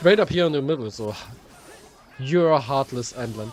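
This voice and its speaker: A man with a German accent speaks in a fairly high pitch with lively intonation while music plays in the background. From Germany. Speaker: gaming streamer. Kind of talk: live game stream commentary. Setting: live stream.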